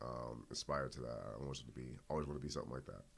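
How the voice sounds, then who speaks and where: Speaking with a Boston accent, a man uses a very deep, low pitch and a monotone, flat intonation. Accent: Boston urban American English. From Boston, Dorchester. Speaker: MMA fighter. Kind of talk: interview. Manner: halting.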